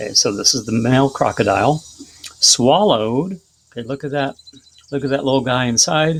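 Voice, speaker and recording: A man speaks at a medium pitch with ordinary pitch variation. He leaves long, frequent pauses. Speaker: teacher. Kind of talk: tutorial. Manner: fast.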